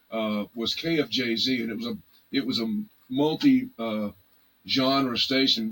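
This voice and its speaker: With a Texan accent, a man speaks in fairly even intonation. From Texas, Arlington / Fort Worth area. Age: 60s. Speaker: blues musician. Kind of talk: casual interview chat. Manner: halting, many fillers and restarts.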